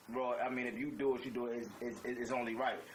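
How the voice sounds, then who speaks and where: A man talks at a fairly quick pace in a New York accent. Audible room echo and noticeable background noise surround him. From New York, the Bronx. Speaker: podcast co-host. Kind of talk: casual chat. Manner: animated.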